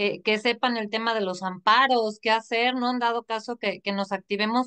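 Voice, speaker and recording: In a bright, sharp tone, a woman speaks at a fairly high pitch and moderate pace with ordinary pitch variation over a quiet background. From Mexico. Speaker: online show host. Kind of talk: interview. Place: home room. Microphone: video call.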